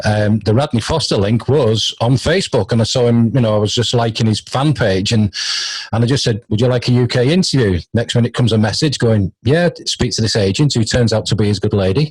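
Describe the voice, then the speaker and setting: A man's somewhat breathy voice, medium in pitch, with a British accent. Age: 50s. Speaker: radio host. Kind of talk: casual interview chat.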